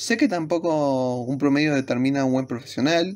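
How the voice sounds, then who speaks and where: Delivered at a moderate pace in a Rioplatense accent, the speech comes through on a very clean recording with a silent background. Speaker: university student YouTuber. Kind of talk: casual vlog talk to camera.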